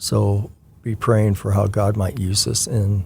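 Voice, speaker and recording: Speaking very slowly, a man with a fairly low pitch sounds somewhat breathy. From Washington State, US Pacific Northwest. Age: 60s. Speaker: retired church member, children's ministry volunteer. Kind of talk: interview. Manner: halting, many fillers.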